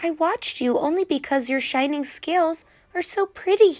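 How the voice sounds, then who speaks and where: A woman puts on a character voice that is extremely high and squeaky. The sound is dry and close, with no echo. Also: moderate pace. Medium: read story.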